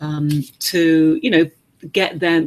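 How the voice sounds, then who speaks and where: A woman with an English accent, fairly low in pitch, with fairly even intonation. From England. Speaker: webinar host, coaching company founder. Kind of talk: webinar interview. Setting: online webinar. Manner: halting, many fillers.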